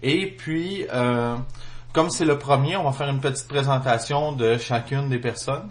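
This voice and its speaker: Somewhat breathy, a man speaks at a fairly high pitch with ordinary pitch variation and a Quebec accent. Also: moderate pace. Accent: Québécois. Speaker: podcast host. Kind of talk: casual chat. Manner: hesitant, many fillers.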